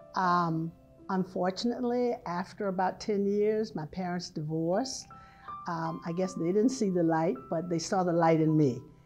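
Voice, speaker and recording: Someone with an American accent speaks with ordinary pitch variation over music in the background. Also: woman. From Hampton, Virginia. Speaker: retired prevention specialist and health teacher. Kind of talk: oral history interview answer.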